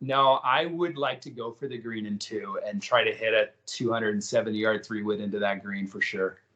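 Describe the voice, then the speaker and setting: A man with an unremarkable speaking voice talks in an American accent at a medium pitch. His pace is fairly slow, with hardly any pauses. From Kansas. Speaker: school president. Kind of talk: interview.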